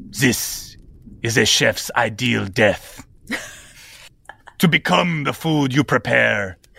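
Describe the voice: A man in a raspy put-on character voice, medium in pitch, very slow, with long, frequent pauses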